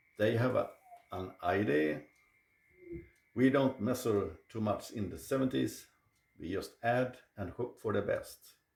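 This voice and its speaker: A man speaking fairly slowly, with long, frequent pauses. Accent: Swedish. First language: Swedish. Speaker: cooking channel host. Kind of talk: cooking video presentation.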